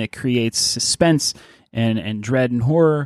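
A man with an American accent speaks in a normal speaking voice at medium pitch, with fairly even intonation, on a very clean recording with a silent background and a dry, close sound with no echo. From Pittsburgh, US. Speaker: podcast co-host. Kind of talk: casual chat.

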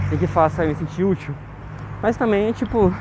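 There is noticeable background noise as a man with a high pitch speaks at a fairly slow pace. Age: 20s. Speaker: diary podcaster. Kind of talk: personal audio diary monologue. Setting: outdoors, walking home.

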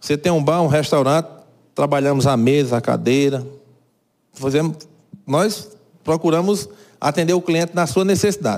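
A man speaks at a moderate pace with very even loudness and long, frequent pauses, his pitch fairly high with ordinary variation. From Brazil, Cajazeiras (Paraíba). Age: 50s. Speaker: carpentry business owner. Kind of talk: interview.

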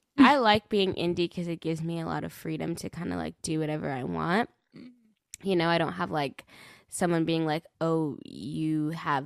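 The recording is very clean, with a silent background and a dry, close sound with no echo, and the voice moves at a moderate pace with ordinary pitch variation. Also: woman. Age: 20s. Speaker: singer-songwriter. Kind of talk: casual interview.

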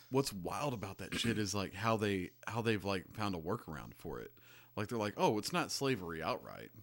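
Fairly low in pitch and marked by vocal fry, a man talks at a moderate pace with ordinary pitch variation, recorded very cleanly against a silent background. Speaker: mechanic. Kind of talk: casual chat. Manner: halting.

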